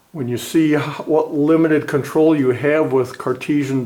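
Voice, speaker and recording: In a room with audible echo, a man with a fairly high pitch talks at a moderate pace with fairly even intonation. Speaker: technical college instructor. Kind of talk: lecture. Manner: loud; hesitant with many fillers. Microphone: camera mic, distant and echoey.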